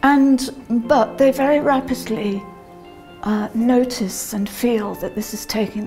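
With faint music in the background, a woman speaks fairly slowly with ordinary pitch variation. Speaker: yoga instructor. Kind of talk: interview answer. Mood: calm, thoughtful. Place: hall.

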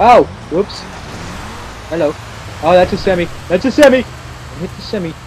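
A man talks at a high pitch with lively intonation and long, frequent pauses. Noticeable background noise runs underneath. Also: moderate pace. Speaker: gaming video creator. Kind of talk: gameplay commentary. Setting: home recording setup. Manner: animated; halting.

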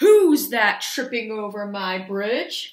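In a put-on character voice, a female-sounding speaker bellows gruffly at a fairly high pitch and a very slow pace. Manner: roaring, gruff.

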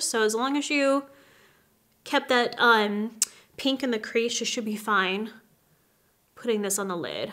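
Against a quiet background, a woman speaks at a high pitch. Her pace is moderate and her pitch variation ordinary. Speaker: makeup artist host. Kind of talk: tutorial. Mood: warm, friendly. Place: home room.

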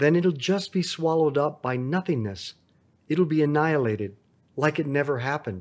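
An ordinary speaking voice from a man, at a moderate pace with ordinary pitch variation. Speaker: rosary meditation leader. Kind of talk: guided rosary prayer and meditation. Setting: on vacation, after a rodeo. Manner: fervent, reverent, devout.

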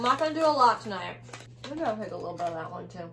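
Over faint background noise, a woman talks at a very fast pace in a bright, sharp tone, with lively intonation and vocal fry. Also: medium pitch for a woman.

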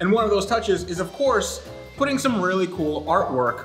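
Over clear background music, a man speaks at a fairly quick pace. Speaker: video host. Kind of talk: casual vlog chat, sponsor read. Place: home room.

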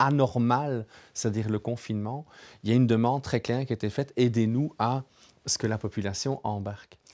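A man at a moderate pace, with fairly even intonation and a quiet background. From Europe near Germany. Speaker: co-host, neuroscientist; co-host. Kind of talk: panel discussion. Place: studio.

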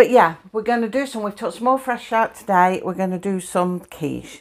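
Ordinary pitch variation in a woman's speech. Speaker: home cook vlogger. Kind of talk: casual cooking tutorial. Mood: cheerful, laughing often. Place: kitchen. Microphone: lapel.

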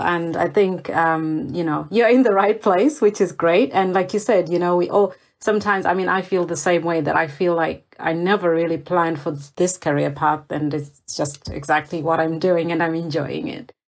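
Over a quiet background, a woman with an ordinary speaking voice talks at a moderate pace and fairly low pitch, with hardly any pauses. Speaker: podcast host. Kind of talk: interview.

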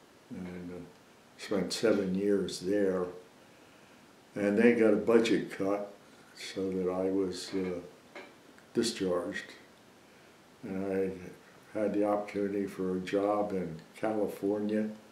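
Amid light background noise and audible room echo, a man with a dark, mellow tone speaks at a very slow pace in a monotone, flat intonation, with long, frequent pauses. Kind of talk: interview answer. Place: home room.

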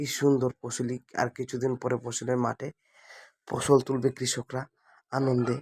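A man with a Mymensingh accent speaks at medium pitch in a monotone, flat intonation. The sound is dry and close with no echo. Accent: Mymensingh regional dialect. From Bangladesh, greater Mymensingh (Netrokona). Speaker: video blogger. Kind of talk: walking vlog narration. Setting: outdoors, village path.

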